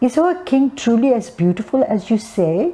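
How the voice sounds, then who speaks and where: A woman puts on a character voice, high in pitch and at a moderate pace. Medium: read story.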